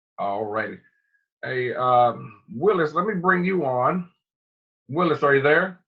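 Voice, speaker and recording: A man speaks at a fairly high pitch and a fairly slow pace with lively intonation. Long pauses come often. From North Carolina. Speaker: webinar host. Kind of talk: hosting a webinar call. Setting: conference call.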